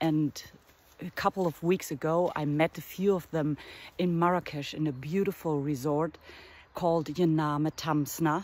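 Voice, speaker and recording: Speaking with a German accent, a woman has a very deep, low pitch. Her pace is moderate and her intonation fairly even. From northern Germany. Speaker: artist and art teacher. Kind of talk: casual vlog monologue. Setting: outdoors in a forest. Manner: halting, with fillers.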